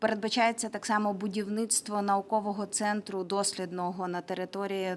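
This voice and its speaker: She has an unremarkable speaking voice, pitched at a medium level. Her intonation is fairly even, and her pace is moderate. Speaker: regional government official. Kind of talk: press briefing.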